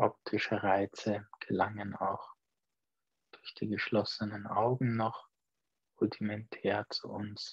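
In a calm tone, a man with a fairly low, somewhat breathy voice speaks at a very slow pace with flat, monotone intonation, long, frequent pauses and big swings in loudness. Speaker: meditation teacher. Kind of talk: guided meditation; Dhamma evening talk with meditation. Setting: online video call. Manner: slow, calm, soft-spoken; measured, with long pauses.

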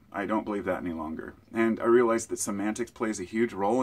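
A man's fairly low voice at a fairly quick pace. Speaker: vlogger. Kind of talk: casual vlog chat. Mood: reflective, opinionated. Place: home room. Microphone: phone near.

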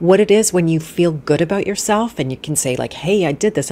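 Speaking at a very fast pace, a woman uses a fairly low pitch and lively intonation. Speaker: podcast host. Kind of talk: live interview conversation. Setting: live stream with online audience. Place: home room. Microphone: studio mic.

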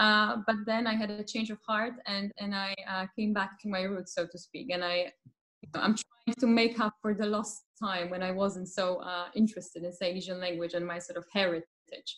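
A woman with a Polish accent speaks at a moderate pace and medium pitch with fairly even intonation over a quiet background. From Silesia, Poland. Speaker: literature lecturer. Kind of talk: academic Q&A discussion. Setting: video call. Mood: warm, reflective. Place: home room. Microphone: video call.

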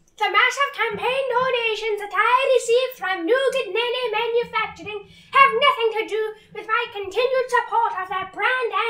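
An extremely high, put-on character voice speaks in an Irish accent. The tone is deadpan and the pace moderate. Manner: deadpan political spiel, comedic.

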